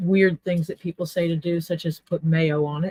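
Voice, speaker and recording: A woman's fairly low, somewhat breathy voice with an American accent, monotone and flat, at a moderate pace, with a dry, close sound and no echo. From US South, Mississippi Gulf Coast. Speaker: leatherworker. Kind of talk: casual chat. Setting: live stream.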